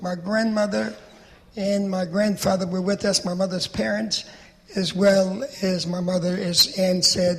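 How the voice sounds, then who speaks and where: A man speaks with a high pitch and ordinary pitch variation over noticeable background noise. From Poland, small village. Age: 80s+. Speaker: Holocaust survivor speaker. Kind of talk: testimony.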